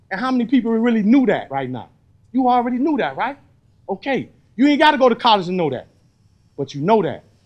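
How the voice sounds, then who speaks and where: Loud and animated, a man talks at a very fast pace with an extremely high pitch, very wide pitch swings, and long, frequent pauses. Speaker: re-entry program facilitator, formerly incarcerated. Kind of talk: group workshop talk. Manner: animated, conversational.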